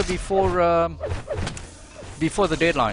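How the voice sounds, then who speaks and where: A man is speaking. Music plays in the background. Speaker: esports shoutcaster. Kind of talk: live game commentary chat. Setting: voice chat server live stream. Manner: hesitant, repeats words.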